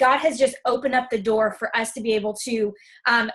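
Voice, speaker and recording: A woman speaks loudly at a moderate pace in a high, bright, sharp voice with ordinary pitch variation. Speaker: fitness coach. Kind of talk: testimony.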